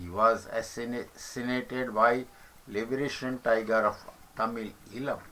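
With an Indian accent, a man speaks at a fairly slow pace and medium pitch, his intonation fairly even, over noticeable background noise. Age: old. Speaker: retired commentator on politics. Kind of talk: reading aloud. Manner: halting.

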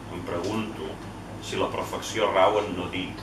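Very slow speech with noticeable background noise. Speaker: poet reading. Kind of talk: poetry reading and informal literary discussion. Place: bar. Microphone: camera far.

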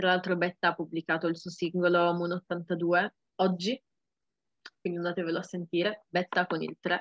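A woman speaks at a moderate pace with a fairly low pitch and monotone, flat intonation, leaving long, frequent pauses. The sound is dry with no echo over a quiet background. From Turin, Italy. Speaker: rapper. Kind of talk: interview. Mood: relaxed, cheerful. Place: home room. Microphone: webcam.

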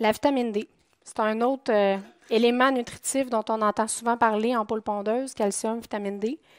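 At a moderate pace and fairly high pitch, a woman speaks with monotone, flat intonation, the sound dry and close with no echo. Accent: Quebec. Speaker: poultry nutritionist. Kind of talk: conference talk. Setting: conference room with audience.

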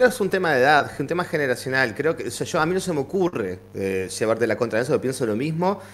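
With vocal fry and a fairly high pitch, a man rushes along at a very fast pace, with hardly any pauses and very wide pitch swings. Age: 40s. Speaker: teacher. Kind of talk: casual chat. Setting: live stream. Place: home room.

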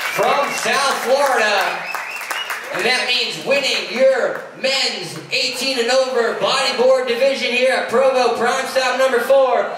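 The speech comes at a very slow pace, with audible room echo and noticeable background noise. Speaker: event announcer. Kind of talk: awards announcement. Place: hall.

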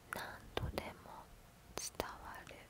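The voice is a whisper. Noticeable background noise sits behind it. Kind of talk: ASMR storytelling reading in Japanese. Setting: binaural microphone recording. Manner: soft, intimate, binaural close-mic reading.

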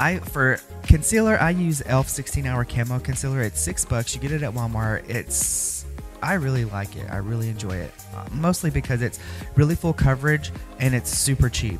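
Clear music plays in the background behind a man. The sound is dry, with no echo. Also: moderate pace. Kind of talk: makeup tutorial. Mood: sassy, upbeat. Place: home room.

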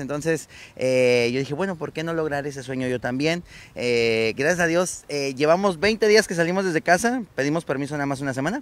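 Speaking at a fairly quick pace, a man with a fairly high pitch and lively intonation comes through in a dry sound with no echo. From Mexico, Tabasco. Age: 30s. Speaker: clown performer; interviewee. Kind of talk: casual interview. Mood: relaxed, enthusiastic storytelling. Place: street. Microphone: handheld.

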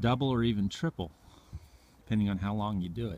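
A man with a fairly low pitch and fairly even intonation talks in a dry recording with no echo. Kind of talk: casual explanatory talk. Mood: calm, informative. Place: open country. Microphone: phone near.

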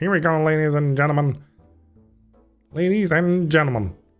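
Putting on a character voice, a man talks at a fairly high pitch and a moderate pace while faint music plays in the background. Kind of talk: announcer. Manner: loud, excited showman.

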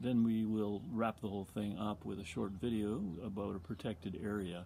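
Over light background noise, the voice has a dark, mellow tone and a moderate pace. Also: man. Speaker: presenter. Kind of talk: casual talk introducing a virtual bird walk. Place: garden. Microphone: phone near.

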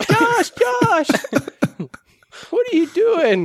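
A man's squeaky, put-on character voice at an extremely high pitch.

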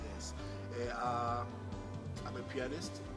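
A man talks over loud music in the background. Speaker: interview guest. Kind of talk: interview answer. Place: home room. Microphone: camera far.

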